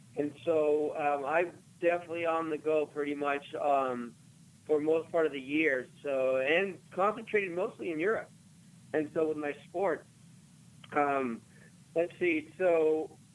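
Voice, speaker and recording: With long, frequent pauses, a man talks fairly slowly in a fairly high pitch that varies in an ordinary way. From Los Angeles area, US (born in Argentina). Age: 30s. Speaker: Olympic luge athlete. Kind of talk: radio interview.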